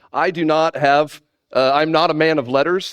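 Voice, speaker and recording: A man with a Texan accent and fairly even intonation. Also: quiet background. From Texas. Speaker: animator and conference speaker. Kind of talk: conference talk. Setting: stage with audience. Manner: many filler words.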